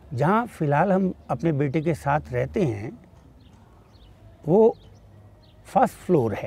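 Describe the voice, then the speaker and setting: A man with a fairly high pitch speaks at a very slow pace, leaving long, frequent pauses. His dark, mellow tone carries vocal fry and very wide pitch swings, and the sound is dry with no echo. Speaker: retired college principal. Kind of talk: interview answer. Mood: pleased, smiling. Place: garden.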